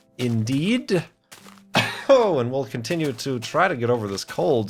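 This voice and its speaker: Music plays in the background as a man speaks. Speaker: let's play gamer. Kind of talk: casual gameplay commentary.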